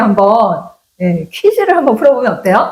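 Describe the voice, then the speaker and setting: Moderately paced, a woman talks in a high voice that makes very wide pitch swings. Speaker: career counseling teacher. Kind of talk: casual panel talk. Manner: higher pitched than usual today.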